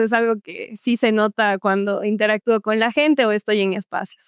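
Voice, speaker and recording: A woman speaks at a moderate pace with a southern Ecuadorian accent. The sound is dry and close with no echo, on a very clean recording with a silent background. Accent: Cuenca-like southern Ecuadorian. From Ecuador, Azogues (southern highlands). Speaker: beauty queen. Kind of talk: podcast interview.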